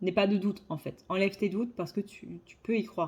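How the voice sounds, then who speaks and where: There's a somewhat breathy quality to this woman's voice. Her pitch rises and falls in an ordinary way. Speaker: psychic card reader. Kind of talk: tarot reading monologue; casual channel update. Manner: hesitant with fillers.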